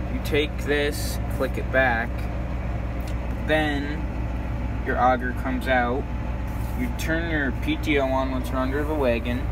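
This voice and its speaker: Speech moves at a very slow pace, broken by long, frequent pauses. Background noise is noticeable throughout. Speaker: student farm vlogger. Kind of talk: casual vlog chat. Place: farm machine. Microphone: phone near.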